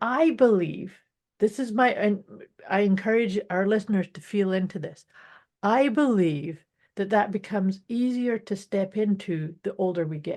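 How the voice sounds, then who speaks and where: Over a quiet background, a woman with an unremarkable speaking voice talks at a fairly slow pace, her medium pitch varying in an ordinary way. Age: 60s. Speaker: podcast co-host. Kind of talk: casual chat.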